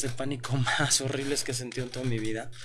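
A man with a Mexican accent at a fairly quick pace, with audible room echo and noticeable background noise. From Mexico. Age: 40s. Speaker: self-development speaker and mentor. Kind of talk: interview.

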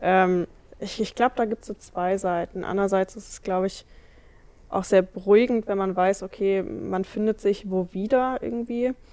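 A woman speaks at a moderate pace in a medium pitch with a dark, mellow tone. Her intonation stays fairly even while her loudness swings widely. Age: 20s. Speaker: trainee youth worker. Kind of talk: interview.

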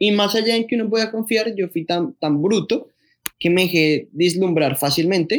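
The delivery comes at a moderate pace with very even loudness. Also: man, high pitch for a man, ordinary pitch variation. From Colombia, Bogotá. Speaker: sneaker enthusiast, content creator. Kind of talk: casual chat. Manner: animated.

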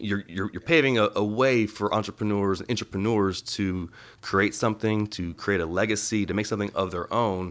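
Speaking fairly quickly with hardly any pauses and fairly even intonation, a man has a plain, everyday voice on a very clean recording with a silent background. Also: fairly low pitch for a man. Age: 30s. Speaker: podcast host. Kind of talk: casual interview.

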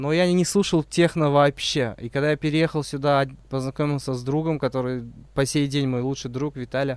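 Fairly high in pitch, a man with an unremarkable speaking voice talks at a moderate pace with fairly even intonation over a quiet background. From Uzbekistan. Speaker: podcast host. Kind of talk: casual chat.

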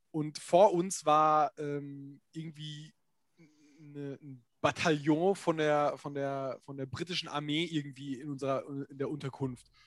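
Speaking at a very slow pace with long, frequent pauses, a man with a fairly high pitch keeps a fairly even intonation while his loudness swings widely. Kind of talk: casual chat. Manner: informal, stumbling, hesitant.

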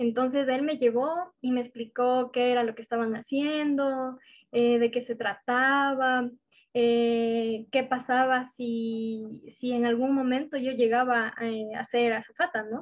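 Intonation stays monotone and flat as the voice moves at a very slow pace. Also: woman. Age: 20s. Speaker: university student and club member. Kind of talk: interview.

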